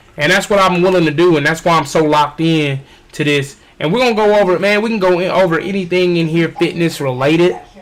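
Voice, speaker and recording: A loud man talks at a very fast pace with a high pitch. Noticeable background noise can be heard. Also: ordinary pitch variation. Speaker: fitness trainer and streamer. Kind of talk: casual livestream chat. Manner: animated.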